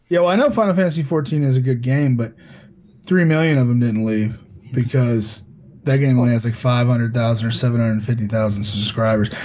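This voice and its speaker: A man of medium pitch talks very fast. His loudness stays very even throughout. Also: ordinary pitch variation. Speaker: gaming podcast co-host. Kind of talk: casual panel chat. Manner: talks a lot, heated.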